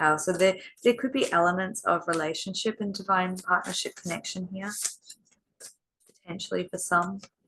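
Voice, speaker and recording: A woman with an Australian accent and a bright, sharp tone speaks at a moderate pace and medium pitch with ordinary pitch variation and long, frequent pauses. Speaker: intuitive card reader. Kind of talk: tarot card reading. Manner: conversational, hesitant with fillers.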